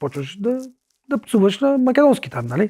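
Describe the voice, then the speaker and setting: On a very clean recording with a silent background and a dry, close sound with no echo, a man with a slight Macedonian accent speaks at a moderate pace with very wide pitch swings. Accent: slight Macedonian accent, softer. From North Macedonia, Vinica. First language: Macedonian (speaking Bulgarian). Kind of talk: casual chat. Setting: studio.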